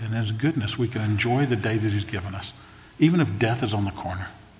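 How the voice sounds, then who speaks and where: Somewhat breathy, a man speaks at a very fast pace with a fairly low pitch and ordinary pitch variation. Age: 60s. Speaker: pastor. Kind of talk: sermon. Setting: church stage. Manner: emotional, prone to choking up.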